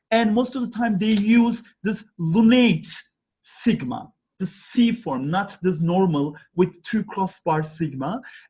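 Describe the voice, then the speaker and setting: With a Turkish accent, a man talks at a very slow pace in a high pitch with a dark, mellow tone. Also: lively intonation. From Turkey, Istanbul (Kadıköy). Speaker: archaeology professor. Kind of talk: conference presentation. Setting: online conference. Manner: halting, many fillers.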